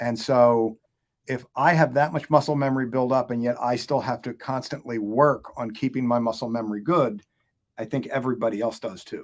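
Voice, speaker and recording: A man with an unremarkable speaking voice talks at a fairly quick pace in a medium pitch, his intonation fairly even. The recording is very clean, with a silent background. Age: 60s. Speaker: firearms instructor. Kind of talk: casual chat.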